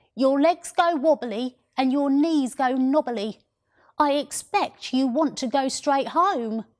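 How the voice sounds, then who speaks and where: A female-sounding, put-on character voice, croaky and high-pitched, delivers its lines at a fairly slow pace. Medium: read story. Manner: whiny and demanding; sly, calm.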